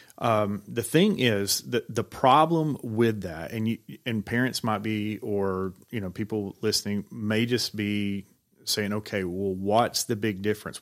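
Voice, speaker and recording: A man with a Southern US accent talks at a fairly slow pace and a fairly low pitch, with ordinary pitch variation, on a very clean recording with a silent background. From Georgia. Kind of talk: casual chat. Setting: studio.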